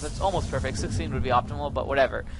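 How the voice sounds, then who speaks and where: A man talking with music in the background. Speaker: gaming video creator. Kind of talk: gameplay commentary tutorial. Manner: fast; animated.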